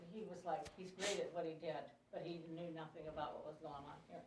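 The woman's voice is fairly low in pitch and her pace is moderate. Room echo can be heard. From US Midwest. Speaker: class attendee. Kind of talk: casual chat.

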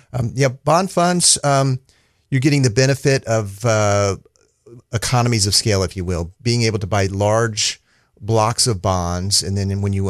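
With a plain, everyday voice, a man talks at a moderate pace and ordinary pitch variation against a quiet background. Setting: studio.

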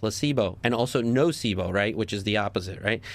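A man's medium-pitched voice with a slight New York accent and lively intonation, on a very clean recording with a silent background. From New Jersey. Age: 30s. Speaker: doctor. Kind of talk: radio interview.

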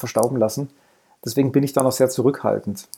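With a dark, mellow tone, a man talks at a very fast pace. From Lower Bavaria, Germany. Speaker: former games journalist, writer. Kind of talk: casual chat.

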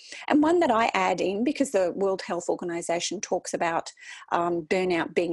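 Recorded with a dry, close sound and no echo, a woman speaks in a fairly low pitch with an Australian accent. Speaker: wellbeing consultant. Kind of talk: interview. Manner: energetic.

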